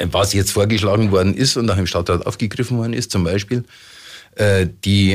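Fairly low in pitch, a man's voice moves along at a fairly quick pace. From Munich, Bavaria. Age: 60s. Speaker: mayoral candidate. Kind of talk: radio interview. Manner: hesitant with fillers.

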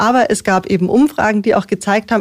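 Here a woman uses a plain, everyday voice in a fairly high pitch with ordinary pitch variation. The sound is dry and close with no echo. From Munich (Aubing), Bavaria. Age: 40s. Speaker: politician, mayoral candidate. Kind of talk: radio interview. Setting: studio.

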